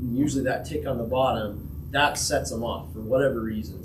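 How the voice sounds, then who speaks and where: Someone with an American accent talks very fast over noticeable background noise, with audible room echo. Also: man. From Utah, Uintah Basin. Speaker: angler giving a fishing talk. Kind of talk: presentation to a club audience. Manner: quiet.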